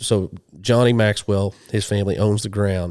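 A man with an American accent and a fairly low pitch, ordinary pitch variation, and a moderate pace, on a very clean recording with a silent background. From western Oklahoma. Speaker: hunting TV host and ordained minister. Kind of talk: casual interview chat. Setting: in person, sharing a couch with the host.

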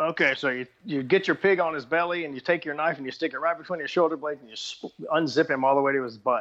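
A man in a Texan accent talks with a fairly high pitch and ordinary pitch variation. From Texas. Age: 50s. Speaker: bowhunter and YouTuber. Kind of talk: casual interview chat.

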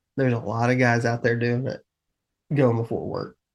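A man is speaking. He has a Southern US accent. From US South. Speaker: hunting podcast host. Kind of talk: casual chat.

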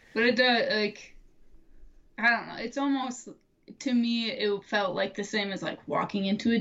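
A woman with a fairly high pitch speaks at a moderate pace, her intonation fairly even, while noticeable background noise runs behind her. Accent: American. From Michigan (Middleville). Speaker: bowhunter. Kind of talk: casual chat.

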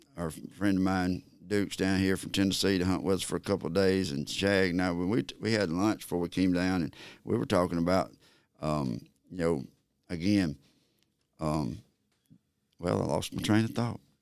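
A man with an Alabama accent and a very deep, low pitch speaks at a moderate pace with ordinary pitch variation and long, frequent pauses, in a very clean recording with a silent background. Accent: Southern US (Alabama). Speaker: turkey call maker and hunter. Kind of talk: casual interview. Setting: at his call company facility.

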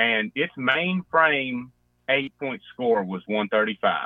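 A man with a strong Southern US accent. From West Virginia (Boone County). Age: young. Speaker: hunter. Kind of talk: casual chat.

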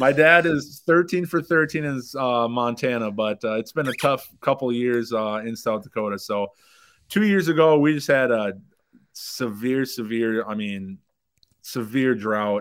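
A man with an American accent talks at a fairly slow pace in a plain, everyday voice, medium in pitch with ordinary pitch variation. The recording is very clean, the background silent. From Minnesota. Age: 20s. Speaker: antelope hunter and blogger. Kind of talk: casual interview.

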